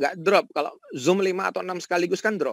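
High-pitched male speech, recorded dry and close with no echo. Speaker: professor and AI researcher. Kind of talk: webinar lecture. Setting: video call from home. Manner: casual, relaxed.

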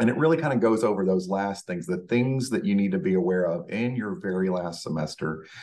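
A man talks in a very deep, low pitch with ordinary pitch variation. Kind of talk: presentation walkthrough. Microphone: webcam.

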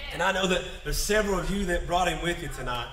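A man's fairly high voice, fast and with lively intonation, in audible room echo.

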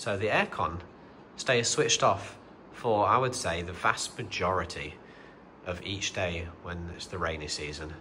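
Speaking with an English accent, a man has a very deep, low pitch and ordinary pitch variation. His pace is fairly slow, with noticeable background noise behind him. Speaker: family vlogger. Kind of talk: vlog narration. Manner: casual with fillers.

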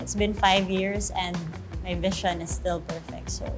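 Clear music sits in the background as a woman talks. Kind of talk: interview answer. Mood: cheerful, relaxed. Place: studio. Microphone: lapel.

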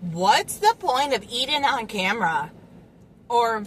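Light background noise runs behind a woman as she talks. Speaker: food vlogger. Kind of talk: casual vlog chat. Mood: relaxed, playful. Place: car. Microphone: phone near.

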